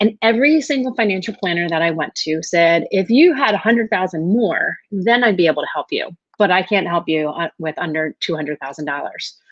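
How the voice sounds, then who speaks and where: Speaking at a fairly quick pace, a woman uses lively intonation at a medium pitch. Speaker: life coach. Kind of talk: webinar presentation. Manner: fast.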